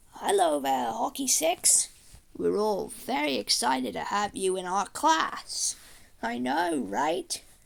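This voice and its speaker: This put-on character voice sits at a middle pitch. It moves at a fairly slow pace. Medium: machinima.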